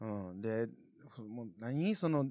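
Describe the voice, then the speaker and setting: Speaking at a moderate pace with a Kansai accent, a man is heard in a dry, close recording with no echo and a quiet background. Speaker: podcast host. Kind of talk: casual solo podcast talk. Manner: animated, laughing.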